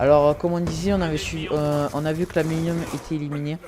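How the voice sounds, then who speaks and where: Amid noticeable background noise, a man with a southern French accent speaks at a fairly quick pace in a fairly high pitch, his intonation monotone and flat. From southern France. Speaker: gaming YouTuber. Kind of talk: casual gaming chat. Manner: halting, many fillers.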